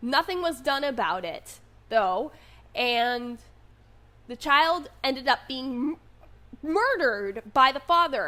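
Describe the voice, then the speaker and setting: The voice is raised and projected, with a bright, sharp tone, lively intonation and big swings in loudness. Delivery is very slow, with long, frequent pauses. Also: woman, high pitch for a woman. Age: 20s. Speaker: vlogger. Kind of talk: unscripted monologue.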